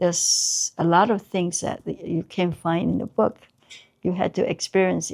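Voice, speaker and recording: A woman talks at a fairly slow pace in a Taiwanese accent. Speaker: artist, Chinese brush painter. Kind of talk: oral history interview. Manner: halting, many fillers.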